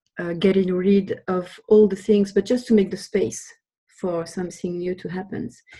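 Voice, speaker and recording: A woman with a French accent speaks at medium pitch in a dark, mellow tone. Her voice is somewhat breathy and shows big swings in loudness. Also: fairly even intonation, moderate pace. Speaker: webinar participant. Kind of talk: group discussion. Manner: hesitant.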